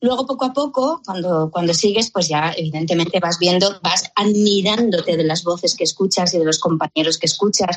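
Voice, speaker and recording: A normal speaking voice from a woman, medium in pitch, at a moderate pace with ordinary pitch variation, very even loudness and hardly any pauses. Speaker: voice actress. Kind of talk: radio interview.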